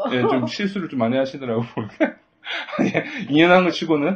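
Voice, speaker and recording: Very wide pitch swings in a strong Gyeongsang accent. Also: man. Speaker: podcast host. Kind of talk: casual chat. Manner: halting.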